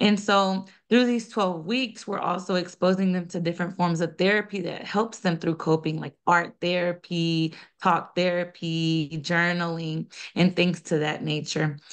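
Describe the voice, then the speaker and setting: Over a quiet background, a woman with an American accent and an ordinary speaking voice talks fairly slowly in a fairly low pitch. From US South, small-town North Carolina, Colombian family. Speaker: nonprofit founder and director. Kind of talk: podcast interview.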